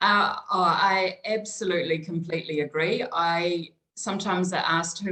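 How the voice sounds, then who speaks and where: A woman speaks with a New Zealand accent. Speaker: small business consultant. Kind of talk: interview conversation.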